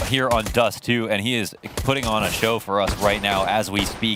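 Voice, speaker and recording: A man's pitch varies in an ordinary way amid noticeable background noise. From Quebec. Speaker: esports caster. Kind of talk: live commentary.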